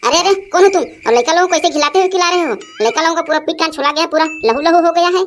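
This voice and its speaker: A woman's cartoonish character voice, extremely high-pitched and very fast. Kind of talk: standard Hindi, barely knows Chhattisgarhi. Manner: fussy, concerned.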